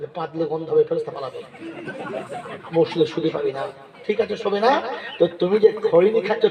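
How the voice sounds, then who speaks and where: An animated tone comes through over crowd noise in the background. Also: man. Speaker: Islamic preacher giving a sermon (waz) at a religious gathering. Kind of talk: public religious sermon to a live audience, with humor and audience interaction. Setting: open-air jalsa gathering, amplified PA. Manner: animated, jocular, rhetorical.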